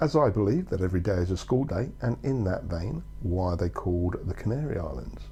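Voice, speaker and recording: A man's dark, mellow tone with vocal fry and lively intonation. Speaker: travel vlogger. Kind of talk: casual talk to camera.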